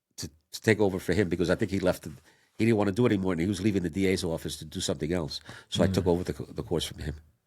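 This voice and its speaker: A man with a New York accent, very deep, low pitch, very fast pace, and fairly even intonation. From Puerto Rico, raised in New York City. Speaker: defense attorney. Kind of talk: interview answer.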